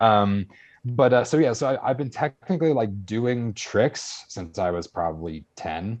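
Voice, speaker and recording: An unremarkable speaking voice belongs to a man of medium pitch with lively intonation. He talks at a fairly slow pace against a quiet background. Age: 20s. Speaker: tricker and martial artist, writer. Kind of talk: casual chat. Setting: podcast interview. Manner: talkative, frequent fillers.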